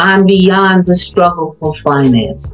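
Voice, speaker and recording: Faint music plays in the background. A woman speaks with ordinary pitch variation. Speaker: retired academic and coach. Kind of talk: motivational talk on group video call. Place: home room. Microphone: video call.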